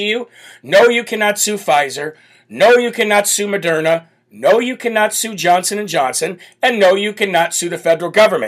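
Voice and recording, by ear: A loud, croaky and raspy voice moves at a moderate pace with ordinary pitch variation. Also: man.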